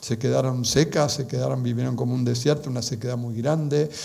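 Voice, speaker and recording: Speaking at a moderate pace with an Argentine accent, a man keeps his intonation fairly even amid audible room echo. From Argentina. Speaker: speaker on Marian apparitions. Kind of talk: conference talk. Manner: halting.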